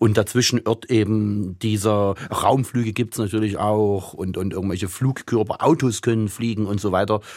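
With hardly any pauses, a man speaks at a moderate pace in a fairly low pitch with fairly even intonation. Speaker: writer and translator. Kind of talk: interview. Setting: remote line.

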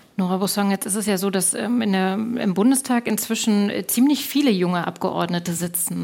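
A woman's medium-pitched voice at a fairly quick pace over noticeable background noise. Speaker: radio moderator. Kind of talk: moderated panel discussion. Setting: stage with audience.

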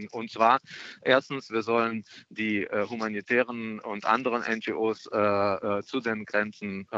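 A man with a Russian accent speaks at medium pitch. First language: Russian (speaking German). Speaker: member of European Parliament, Green politician. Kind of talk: radio interview. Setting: phone call from an airport. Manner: hesitant, many filler sounds.

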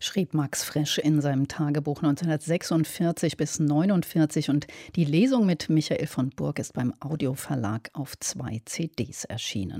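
Very slow yet with hardly any pauses, a woman's very deep, low-pitched voice has a dark, mellow tone in a dry, close sound with no echo and a very clean recording with a silent background. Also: ordinary pitch variation. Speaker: radio announcer. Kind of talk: news announcement.

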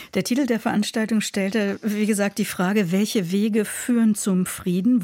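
Against a very clean, silent background, a woman with a fairly high pitch talks at a moderate pace, her dark, mellow tone somewhat breathy and her pitch varying in an ordinary way. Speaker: radio culture show host. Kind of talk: radio news magazine presenting.

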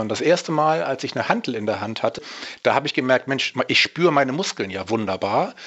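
Amid noticeable background noise, a man speaks at a very fast pace and fairly high pitch, his pitch swinging very widely. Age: 50s. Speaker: natural bodybuilder and fitness coach. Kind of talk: interview.

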